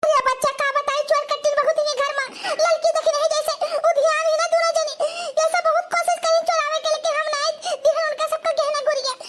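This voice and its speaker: A woman puts on a cartoonish character voice with a whiny tone and extremely high pitch, at a moderate pace. Light background noise can be heard. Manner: whiny, doting.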